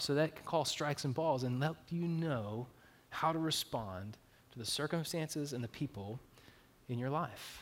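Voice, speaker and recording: With ordinary pitch variation, a man uses an ordinary speaking voice. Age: 30s. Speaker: pastor. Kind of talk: sermon. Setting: church.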